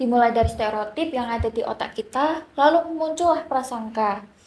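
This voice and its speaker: At a fairly quick pace, the speech carries ordinary pitch variation. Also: woman. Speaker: podcast host, psychology student. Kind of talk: podcast discussion. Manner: soft-spoken.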